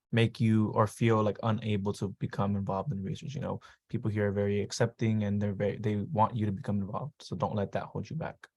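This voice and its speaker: A man at a very fast pace with hardly any pauses, fairly low pitch and fairly even intonation, in a very clean recording with a silent background. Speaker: university student. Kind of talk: panel presentation.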